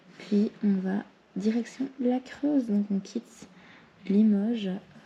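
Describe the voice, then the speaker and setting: The speaker, a woman, whispers. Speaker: travel vlogger. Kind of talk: vlog. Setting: hotel room. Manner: whispering.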